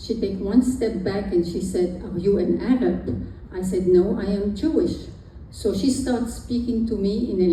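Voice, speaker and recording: A woman with a French accent speaks at a fairly slow pace, her pitch medium with ordinary variation. Noticeable background noise and audible room echo fill the recording. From Egypt. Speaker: speaker sharing personal history. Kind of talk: personal testimony talk.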